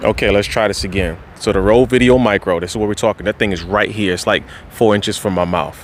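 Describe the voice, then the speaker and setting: Audible room echo and noticeable background noise surround the speech. A man with a very deep, low pitch talks at a fairly quick pace, his pitch swinging very widely. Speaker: YouTuber testing microphones. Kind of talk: vlog audio test. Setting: outdoors on parking garage rooftop. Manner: casual, animated.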